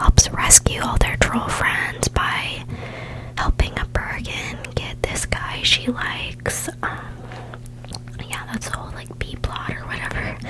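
A woman whispers in a soft-spoken way at a fairly slow pace. Noticeable background noise sits behind her. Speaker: ASMR creator. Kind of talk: soft-spoken ASMR storytelling. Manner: soft close-mic ASMR whisper. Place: home room. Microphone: studio mic.

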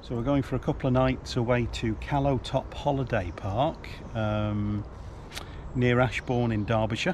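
A man speaks at a moderate pace in a dry sound with no echo, with noticeable background noise behind him. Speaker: travel vlogger. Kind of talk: casual vlog chat. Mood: upbeat, looking forward. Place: street. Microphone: phone near.

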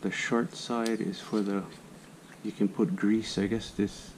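The man's intonation is monotone and flat, and his pace is fairly slow. Light background noise is present. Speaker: hobbyist demonstrator. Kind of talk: tutorial. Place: garage. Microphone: camera far.

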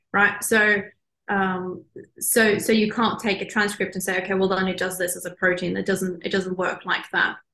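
With a Norwegian accent, the voice sounds bright and sharp in monotone, flat intonation, carrying audible room echo over a quiet background. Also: woman, medium pitch for a woman, moderate pace. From Norway. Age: young. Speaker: marine biologist; guest. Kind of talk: interview. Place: office. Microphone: video call.

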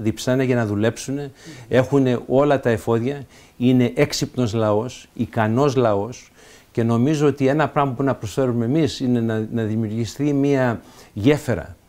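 A man speaks with a dark, mellow tone at a moderate pace. His intonation stays fairly even. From Canada, Montreal, Greek immigrant family; Canada. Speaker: senator. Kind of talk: interview. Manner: halting, frequent fillers and repetitions. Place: home room.

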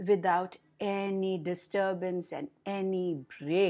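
A woman speaks at a very slow pace in a warm tone. The background is quiet. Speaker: storyteller. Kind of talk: bedtime storytelling to children. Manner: animated, repeating words for emphasis; warm, slow, coaxing with questions to listeners. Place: home room. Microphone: webcam.

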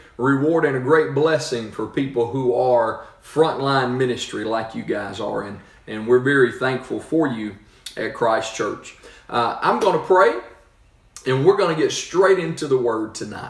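A man talks at a moderate pace, and audible room echo hangs around his words. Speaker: church pastor. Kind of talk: sermon-style address and prayer. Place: home room. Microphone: phone near.

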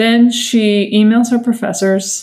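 This woman's voice is somewhat breathy, with a dark, mellow tone and fairly even intonation. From Massachusetts, US. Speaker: sister of a missing person, advocate. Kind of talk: interview testimony.

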